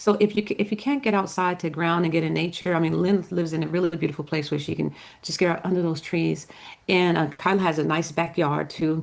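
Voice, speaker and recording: Very fast speech with vocal fry and fairly even intonation. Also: woman, fairly low pitch for a woman. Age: 60s. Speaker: tarot card reader. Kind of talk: casual chat. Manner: halting.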